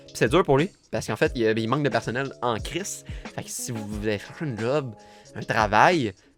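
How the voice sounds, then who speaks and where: A man's medium-pitched voice at a moderate pace with lively intonation and big swings in loudness, music in the background. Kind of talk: casual podcast conversation.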